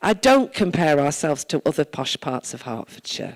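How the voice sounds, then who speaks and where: A woman's very deep, low voice is captured with a dry, close sound and no echo. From Wales. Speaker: town mayor. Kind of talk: speech to church congregation.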